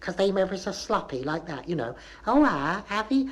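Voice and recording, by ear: A put-on character voice from a female-sounding woman, medium in pitch, at a fairly quick pace over light background noise.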